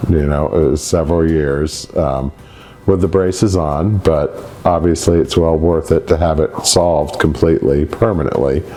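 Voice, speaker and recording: A man with a very deep, low pitch talks at a moderate pace with fairly even intonation and very even loudness. Noticeable background noise sits behind him. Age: 60s. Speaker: patient giving testimonial. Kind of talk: testimony. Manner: halting.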